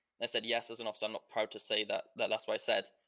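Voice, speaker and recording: A man with a British accent talks at a very fast pace. The sound is dry and close, with no echo. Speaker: online roleplay gamer. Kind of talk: casual chat. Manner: halting.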